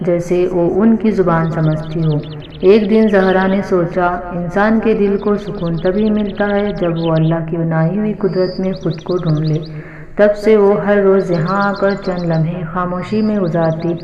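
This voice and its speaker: Monotone, flat intonation over music in the background. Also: woman, medium pitch for a woman. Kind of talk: read story.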